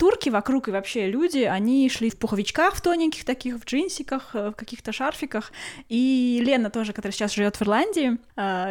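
The speaker moves at a fairly quick pace. The pitch swings very widely. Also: woman. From Russia, Kaliningrad. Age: 30s. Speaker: podcast co-host. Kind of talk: casual chat.

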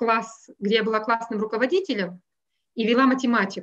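Here a woman with a plain, everyday voice speaks in a fairly high pitch with ordinary pitch variation. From Russia. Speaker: math teacher. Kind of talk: interview.

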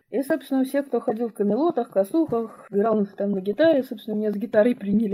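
The voice has a dark, mellow tone and ordinary pitch variation at a very fast pace. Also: woman. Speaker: mother, former election observer. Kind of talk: personal testimony interview.

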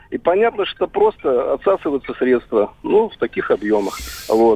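Over noticeable background noise, a man speaks at a moderate pace with a dry, close sound and no echo. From Mari El, Russia. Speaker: radio caller. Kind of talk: phone-in caller. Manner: hesitant, many fillers.

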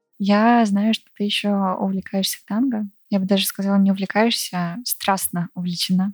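A woman's somewhat breathy, medium-pitched voice with monotone, flat intonation. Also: moderate pace, dry, close sound with no echo. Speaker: podcast host. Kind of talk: interview conversation. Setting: at guest's home.

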